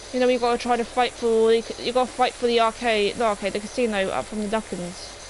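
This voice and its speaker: Someone talks at a very fast pace in an English accent. Noticeable background noise is present. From England. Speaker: gaming streamer. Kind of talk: live stream chat. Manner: halting, many fillers.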